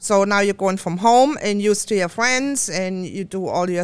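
At a moderate pace, a woman talks with a German accent and ordinary pitch variation. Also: very clean recording, silent background. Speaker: co-host and psychic medium. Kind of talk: casual chat.

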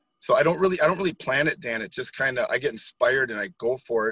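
An animated man with an American accent talks at a very fast pace in a bright, sharp tone with ordinary pitch variation, the sound dry and close with no echo against a quiet background. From Wisconsin, US Midwest. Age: 50s. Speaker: guest interviewee. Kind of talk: casual interview chat. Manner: animated, high energy.

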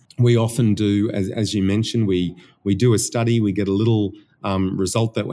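In an Australian accent, a man speaks at a fairly quick pace with fairly low pitch and fairly even intonation. The recording is very clean, with a silent background and a dry, close sound with no echo. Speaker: research institute director and professor. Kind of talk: interview about research. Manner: hesitant, repeats words.

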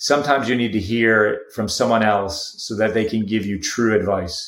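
A man speaks at a medium pitch. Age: 40s. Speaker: entrepreneur. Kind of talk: casual chat. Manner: animated.

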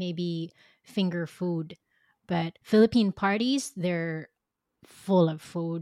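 A woman speaks at a very slow pace with long, frequent pauses, her pitch fairly low and her tone dark and mellow, in a very clean recording with a silent background and a dry, close sound with no echo. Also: ordinary pitch variation. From Philippines. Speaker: startup co-founder and marketing executive. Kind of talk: casual interview.

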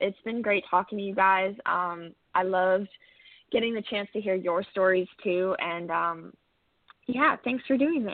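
A woman with a Canadian accent and an ordinary speaking voice talks at a fairly slow pace in a medium pitch with ordinary pitch variation. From Canada, Ontario (Cambridge). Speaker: country singer-songwriter. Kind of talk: casual interview. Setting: phone call.

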